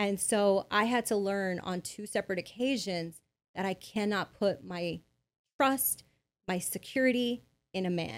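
In a normal speaking voice with an American accent, a woman talks at a fairly slow pace with medium pitch and ordinary pitch variation on a very clean recording with a silent background. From Bell, California (Los Angeles area). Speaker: business consultant. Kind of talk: interview.

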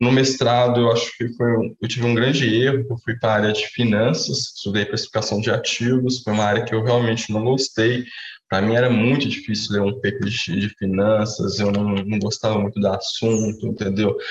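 A man's medium-pitched voice at a moderate pace, with fairly even intonation, very even loudness and noticeable background noise. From Brazil, Minas Gerais (Uberaba). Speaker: economist, researcher. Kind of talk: interview. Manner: hesitant, many fillers.

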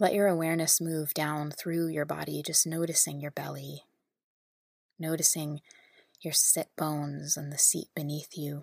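A woman's very deep, low voice in a soothing, calm tone with monotone, flat intonation. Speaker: podcast host and spiritual guide. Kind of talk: guided meditation. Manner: slow, soothing, calm and gentle with long pauses; warm, intimate, addressing listeners as loved ones.

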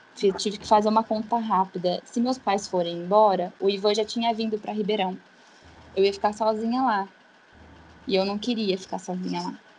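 The voice is somewhat breathy, with fairly even intonation. It moves at a moderate pace. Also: woman. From São Paulo state interior, Brazil. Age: 20s. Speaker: physiotherapist. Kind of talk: casual chat.

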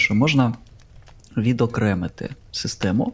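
A man speaks at a medium pitch and a fairly slow pace, with fairly even intonation. It is a normal speaking voice. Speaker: tabletop RPG podcaster, game master. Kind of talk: casual chat.

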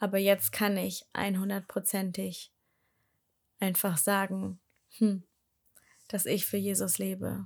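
Against a very clean, silent background, a woman talks at a very slow pace with long, frequent pauses. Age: 20s. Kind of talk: personal testimony monologue. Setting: home, sitting on living room floor. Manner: hesitant, many filler sounds.

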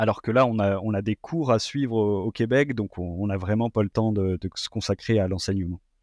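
A man speaks at a moderate pace in a fairly low pitch, with ordinary pitch variation and hardly any pauses. The sound is dry and close with no echo, over a quiet background. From France. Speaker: postdoctoral researcher in environmental science. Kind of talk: interview. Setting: remote call. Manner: halting.

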